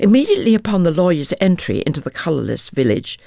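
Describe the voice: Lively intonation marks this plain reading aloud.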